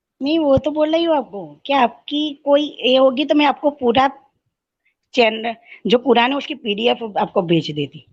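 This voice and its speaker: The woman's voice is high, with lively intonation. It sits over a quiet background. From Gujarat, India. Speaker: student. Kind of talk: heated debate.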